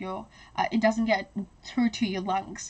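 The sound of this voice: A woman speaks at a medium pitch with little pitch movement.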